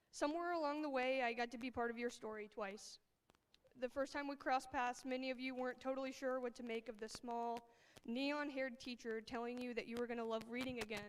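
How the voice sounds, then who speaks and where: Speaking very fast with an American accent, a woman holds a fairly even intonation at a high pitch, her voice shaky. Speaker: high school English teacher. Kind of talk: graduation speech. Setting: stage with audience. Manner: shaky voice.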